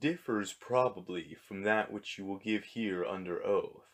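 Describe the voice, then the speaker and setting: A man puts on a character voice with a fairly low pitch. His pace is moderate, and his pitch varies in an ordinary way. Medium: read story. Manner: dry, formal, deadpan.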